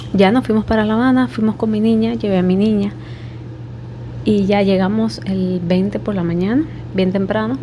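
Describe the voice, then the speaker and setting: With an eastern Cuban accent, a woman talks at a moderate pace in a medium pitch, her voice swinging very widely in pitch against noticeable background noise. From Cuba, Holguín (eastern Cuba). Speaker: vlogger. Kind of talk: personal story vlog. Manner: speaking quietly.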